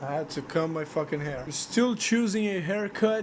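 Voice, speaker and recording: The speaker has a non-native accent and talks at a fairly slow pace. Noticeable background noise runs underneath. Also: man. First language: not English. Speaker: gaming video creator. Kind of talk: casual monologue vlog. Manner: halting, repeats words. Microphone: cheap microphone, poor noise suppression.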